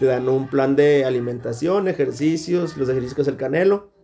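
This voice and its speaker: At a moderate pace, a man with a fairly high pitch speaks in a normal speaking voice. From northern Mexico. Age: 20s. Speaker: podcast host. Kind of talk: casual chat.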